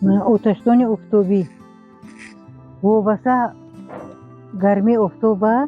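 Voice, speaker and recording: A woman speaks at a fairly high pitch with fairly even intonation. Music plays in the background. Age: 70s. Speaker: farmer. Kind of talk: interview. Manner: halting.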